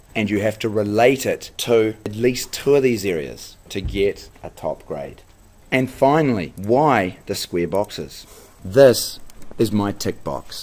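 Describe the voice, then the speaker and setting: Fairly low in pitch and showing vocal fry, a man speaks fairly slowly with lively intonation. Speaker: teacher. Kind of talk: tutorial.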